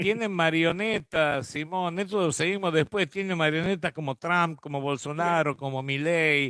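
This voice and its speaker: With hardly any pauses, a man speaks fairly slowly in a high pitch and a bright, sharp tone, recorded very cleanly against a silent background with a dry, close sound and no echo. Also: ordinary pitch variation. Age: 60s. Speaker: radio host. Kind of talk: radio interview. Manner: casual.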